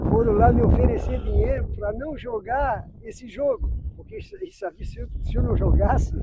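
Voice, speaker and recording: A man speaks at a moderate pace with hardly any pauses and big swings in loudness, over noticeable background noise. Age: 60s. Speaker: amateur footballer. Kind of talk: interview. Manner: halting.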